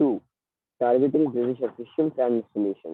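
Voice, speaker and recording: A quiet man's voice, medium in pitch, at a fairly quick pace with ordinary pitch variation. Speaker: elocution contestant. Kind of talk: speech. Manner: too quiet.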